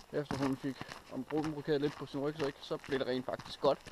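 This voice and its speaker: A man speaks over noticeable background noise. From Denmark, Randers (East Jutland). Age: 30s. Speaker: outdoor vlogger. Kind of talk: casual vlog talk to camera. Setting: outdoors in a forest, hiking. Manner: hesitant, with many filler sounds.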